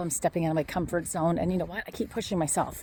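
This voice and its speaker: The tone is dark and mellow, with vocal fry. The speaker has a Canadian accent. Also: woman. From Ontario, Canada. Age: 60s. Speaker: vlogger promoting online courses. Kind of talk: casual walking vlog. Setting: outdoors on a walk.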